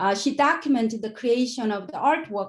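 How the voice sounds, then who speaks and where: The voice moves through very wide pitch swings. The speaker has a non-native accent. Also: woman. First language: not English. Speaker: education researcher. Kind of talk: conference presentation. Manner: halting.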